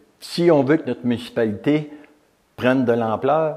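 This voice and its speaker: A man speaks with a Quebec accent at a medium pitch. His pace is fairly slow and his intonation lively. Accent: rural Quebec French. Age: 70s. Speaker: retired volunteer and former mayor. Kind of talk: testimony. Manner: halting.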